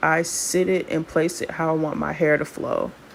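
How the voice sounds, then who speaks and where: The voice has a relaxed tone and a monotone, flat intonation. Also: woman. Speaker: hair stylist and wig seller. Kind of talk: tutorial. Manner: casual, relaxed.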